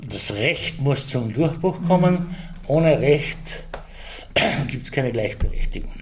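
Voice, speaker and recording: Fairly high-pitched for a man, his voice has ordinary pitch variation, a fairly slow pace and long, frequent pauses, with noticeable background noise and audible room echo. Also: big swings in loudness. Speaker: Slovene minority representative. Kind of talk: interview.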